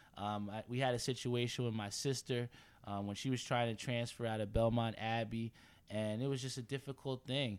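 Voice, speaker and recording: A man speaks in an American accent at a medium pitch, captured in a very clean recording with a silent background. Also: moderate pace. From New Jersey (Edison). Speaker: sports podcast host. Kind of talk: casual sports talk. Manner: animated.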